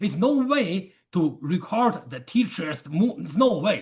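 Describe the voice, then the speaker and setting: A man with a Chinese accent, high in pitch, with very wide pitch swings at a very slow pace. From China. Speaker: martial arts teacher. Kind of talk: interview conversation. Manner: halting.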